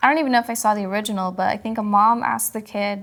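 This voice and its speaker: A woman with a fairly high voice talks at a fairly quick pace against noticeable background noise. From Kentucky. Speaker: podcast host. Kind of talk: casual chat.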